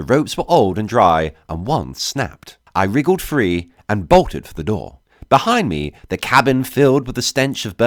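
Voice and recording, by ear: The clip is reading aloud. It is done in a natural voice.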